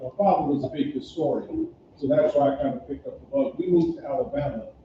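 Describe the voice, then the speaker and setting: A man with an American accent and a plain, everyday voice talks at a moderate pace with lively intonation. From US Midwest (Gary, Indiana). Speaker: panelist sharing personal history. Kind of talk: panel discussion, personal recollection. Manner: repetitive, self-correcting.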